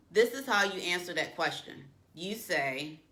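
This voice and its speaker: Her bright, sharp voice at medium pitch swings very widely as the woman speaks, with audible room echo. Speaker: career coach. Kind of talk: tutorial. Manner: uses filler um often.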